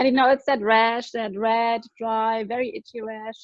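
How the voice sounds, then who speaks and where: A woman's fairly high voice with a German accent. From Germany. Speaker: product distributor giving testimony. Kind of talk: testimony.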